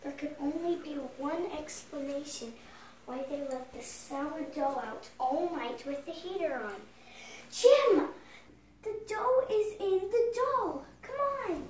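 Pitched high for a woman, her voice makes very wide pitch swings and big swings in loudness at a fairly slow pace, with long, frequent pauses and a slight echo. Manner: excited, brisk.

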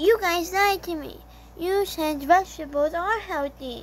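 A cartoonish character voice at extremely high pitch and moderate pace, with clear background noise. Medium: puppet show. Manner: confused, plaintive.

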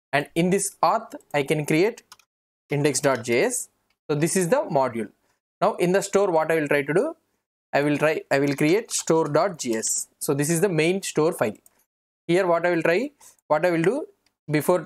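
Against a quiet background, a man talks at a moderate pace with ordinary pitch variation. His loudness is very even, and he leaves long, frequent pauses. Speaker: programming instructor. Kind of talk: tutorial.

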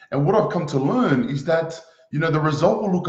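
A man speaks with lively intonation. The room echo is audible, and the background is quiet. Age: 20s. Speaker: motivational speaker. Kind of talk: motivational talk. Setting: live stream. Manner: animated. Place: home room. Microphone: webcam.

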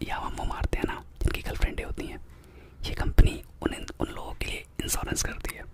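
A man whispering, dry sound with no echo, over loud background noise. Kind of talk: comedic role-play phone call. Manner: close-mic Hindi whisper, call-center pitch. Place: home room. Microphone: studio mic.

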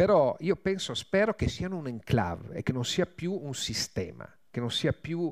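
A man speaks at a moderate pace over a quiet background. His pitch swings very widely. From Trieste, north-east Italy; Italy. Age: 50s. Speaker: war journalist. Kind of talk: talk at a public event. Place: hall. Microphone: podium.

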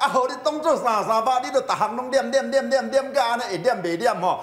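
At a fairly quick pace, a man speaks at extremely high pitch with ordinary pitch variation and audible room echo. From Taiwan. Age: middle-aged. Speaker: finance commentator. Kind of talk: TV panel discussion. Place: studio. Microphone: lapel.

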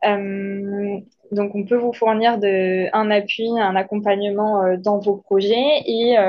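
Monotone, flat intonation from a woman with a fairly high pitch. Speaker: network support officer for energy projects. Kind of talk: presentation.

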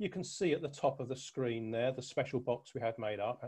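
Against a quiet background, a man speaks in a somewhat breathy voice with a dark, mellow tone and ordinary pitch variation. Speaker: presenter. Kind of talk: presentation. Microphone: webcam.

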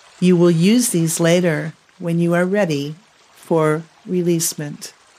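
Amid noticeable background noise, a woman speaks at a fairly slow pace in a fairly low voice with a calm, soothing tone and fairly even intonation. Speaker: color therapist and podcast host. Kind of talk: guided meditation narration. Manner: slow, calm, soothing.

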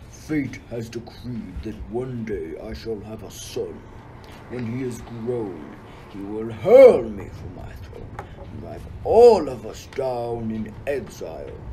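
A man's put-on character voice at medium pitch and a fairly slow pace, over loud background noise. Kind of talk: school radio play acting. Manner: imperious, wrathful.

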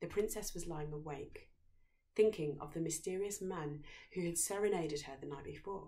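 A woman's fairly low-pitched, slightly mellow voice at a moderate pace, with ordinary pitch variation and audible room echo

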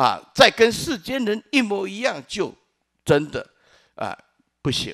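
A man talks at a very slow pace with a high pitch. The background is quiet. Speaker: Buddhist monk teaching; Buddhist monk teacher. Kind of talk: Dharma lecture. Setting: lecture hall with audience. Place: hall. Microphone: podium.

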